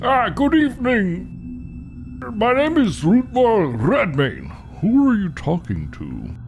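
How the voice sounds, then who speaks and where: Over clear music in the background, someone uses a put-on character voice at a very slow pace. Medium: actual play.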